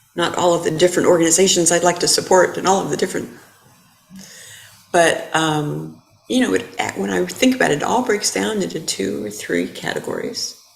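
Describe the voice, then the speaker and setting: A woman speaks fairly quickly amid noticeable background noise and audible room echo. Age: 60s. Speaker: Buddhist dharma teacher. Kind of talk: dharma talk. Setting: temple hall with audience, also streamed.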